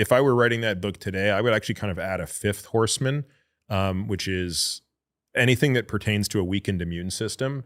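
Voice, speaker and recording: At a very fast pace, a man with a fairly low pitch and ordinary pitch variation speaks in a very clean recording with a silent background. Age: 50s. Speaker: physician and book author. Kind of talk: casual podcast interview.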